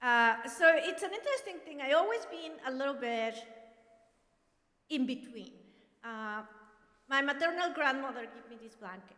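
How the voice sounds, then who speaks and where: In a Mexican accent, a woman projects a raised, high voice that is bright and sharp, with lively intonation. She leaves long, frequent pauses, and audible room echo surrounds her. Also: moderate pace, big swings in loudness. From Mexico, Monterrey. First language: Spanish. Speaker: professor. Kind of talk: personal testimony. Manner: loud.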